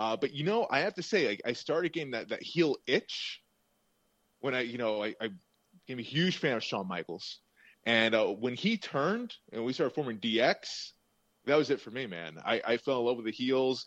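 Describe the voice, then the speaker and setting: A normal speaking voice with lively intonation, at a moderate pace over a quiet background. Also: man, medium pitch for a man. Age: 30s. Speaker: wrestling podcast co-host. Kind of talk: casual chat.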